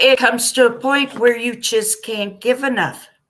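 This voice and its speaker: A woman's fairly high, slowish delivery in an ordinary speaking voice. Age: 60s. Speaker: live stream guest sharing experience. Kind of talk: casual chat.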